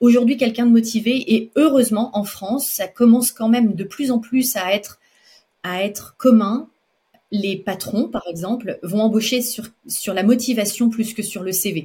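A woman's fairly high, somewhat breathy voice with a dark, mellow tone, ordinary pitch variation and a fairly slow pace. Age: 40s. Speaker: pastry chef and entrepreneur. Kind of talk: interview. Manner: halting.

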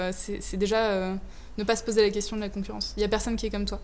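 A woman speaks at medium pitch. There is audible room echo. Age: 20s. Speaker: startup founder. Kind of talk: interview.

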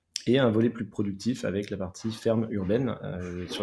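This man's voice sits at a fairly low pitch. He talks at a fairly quick pace with fairly even intonation. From southwest France. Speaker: urban greening entrepreneur. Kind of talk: interview. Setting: remote call. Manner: halting, frequent repetitions.

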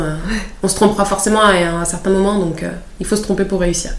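Amid noticeable background noise and audible room echo, a woman speaks at a fairly quick pace with fairly even intonation. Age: 30s. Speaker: nurse turned lymphatic drainage therapist. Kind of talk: interview.

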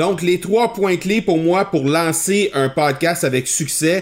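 A man talks at a fairly slow pace in an ordinary speaking voice. His pitch variation is ordinary. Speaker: podcast host and entrepreneur. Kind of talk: interview podcast.

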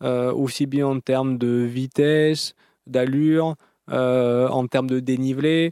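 A man's dark, mellow voice at medium pitch, very slow and fairly even in intonation, with a dry, close sound and no echo. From southern France, Antibes area. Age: 40s. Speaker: marathon runner and sports author. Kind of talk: interview. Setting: in a car.

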